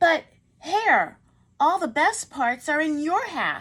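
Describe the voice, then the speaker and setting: In a very clean recording with a silent background, a woman uses a put-on character voice, raised and projected, with extremely high pitch and a very slow pace. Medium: read story. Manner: sleepy, slow.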